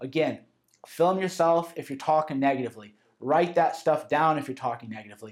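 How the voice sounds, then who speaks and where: A man's fairly high voice, an ordinary speaking voice, with ordinary pitch variation at a fairly quick pace on a very clean recording with a silent background. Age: 30s. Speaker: author narrating his self-help audio course. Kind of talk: audiobook narration, conversational lecture. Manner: casual, informal.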